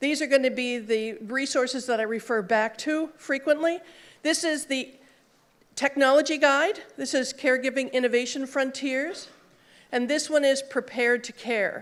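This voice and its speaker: A woman speaks loudly in a high voice, her pitch varying in an ordinary way. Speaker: conference speaker, social worker in health IT. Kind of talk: conference talk. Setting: stage with audience and mic. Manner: fast; loud, projecting.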